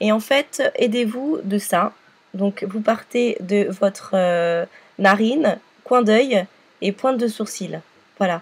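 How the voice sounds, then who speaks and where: Speaking very slowly with long, frequent pauses, a woman uses a somewhat breathy voice, fairly high in pitch, with ordinary pitch variation. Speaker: makeup tutorial youtuber. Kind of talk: tutorial. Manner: hesitant with many fillers.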